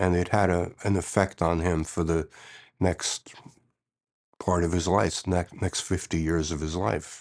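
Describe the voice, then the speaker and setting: A man with an American accent and a very deep, low pitch, fairly even intonation and a fairly slow pace against a quiet background. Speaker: Holocaust survivor. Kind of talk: oral history interview. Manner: conversational with frequent fillers and repetitions.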